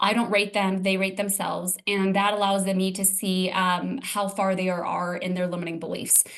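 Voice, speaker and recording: A woman talks at a medium pitch with hardly any pauses. Noticeable background noise is present. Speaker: transformational coach. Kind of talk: interview. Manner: fast; animated.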